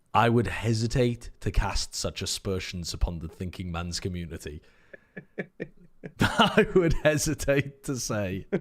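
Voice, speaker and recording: A man with a British accent and medium pitch, fairly slow pace, very wide pitch swings and big swings in loudness. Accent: British accent, softer than co-host's. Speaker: esports caster / streamer. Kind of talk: casual chat. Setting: live stream.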